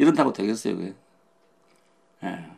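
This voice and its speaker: A man talks with a Gyeongsang accent. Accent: Gyeongsang dialect Korean. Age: 80s+. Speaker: pastor. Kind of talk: sermon.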